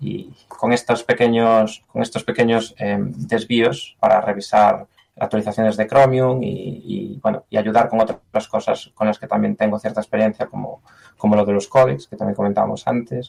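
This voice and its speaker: A man talks at a moderate pace in a Galician accent. The sound is dry and close, with no echo. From Galicia, Spain. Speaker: software engineer. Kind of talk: interview. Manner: halting.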